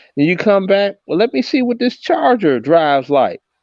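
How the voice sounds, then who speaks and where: A man at a fairly slow pace with very wide pitch swings, in a dry, close sound with no echo and a quiet background. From Chicago, US Midwest. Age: 60s. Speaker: livestream host. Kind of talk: heated debate. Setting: livestream.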